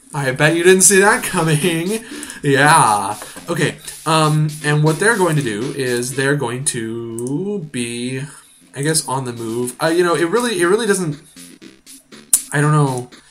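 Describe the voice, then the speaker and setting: Music plays in the background as a man speaks at a fairly slow pace. His fairly high pitch carries lively intonation. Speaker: gaming video creator. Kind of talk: let's play commentary. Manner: halting, many fillers.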